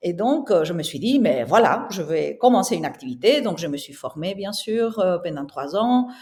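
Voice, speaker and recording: A woman with a Spanish accent, very wide pitch swings and a moderate pace. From southern Spain. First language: Spanish (speaking French). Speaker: interior architect and entrepreneur. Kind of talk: podcast interview.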